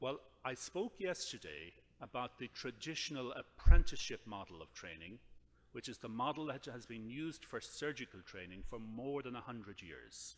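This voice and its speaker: A man's voice in an Irish accent, with very wide pitch swings, big swings in loudness and vocal fry. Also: medium pitch for a man, moderate pace. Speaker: surgeon and professor. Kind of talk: lecture. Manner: formal.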